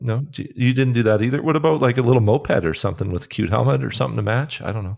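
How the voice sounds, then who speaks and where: A man speaks at a very fast pace with vocal fry and lively intonation. The background is quiet. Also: medium pitch for a man. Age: 40s. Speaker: podcast producer. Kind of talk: casual chat. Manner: animated.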